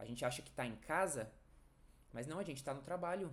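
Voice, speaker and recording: A man talks at a fairly high pitch with lively intonation. Room echo is audible. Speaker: nursing educator. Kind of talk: online lecture. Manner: fast.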